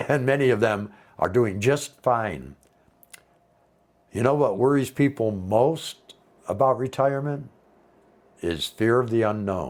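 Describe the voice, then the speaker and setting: A man with an American accent speaks at a fairly slow pace with long, frequent pauses. His pitch is medium, with ordinary variation. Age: 60s. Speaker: retiree vlogger. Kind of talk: casual talk to camera. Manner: conversational.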